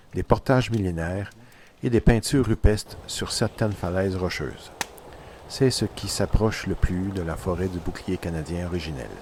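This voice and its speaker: Noticeable background noise sits behind a man speaking at a fairly low pitch. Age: 60s. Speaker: canoe traveller and photographer. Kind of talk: scripted narration.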